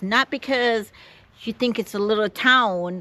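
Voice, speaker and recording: A woman's fairly high, bright and sharp voice in a Caribbean accent, with ordinary pitch variation and a dry, close sound with no echo. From Jamaica. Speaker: vlogger. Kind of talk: vlog to camera. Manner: halting.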